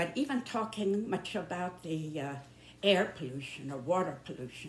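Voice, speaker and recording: A woman with an American accent speaks at a fairly slow pace in a somewhat breathy, fairly low voice with very wide pitch swings. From northern US. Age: 90s. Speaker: YouTuber. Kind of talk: monologue. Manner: halting.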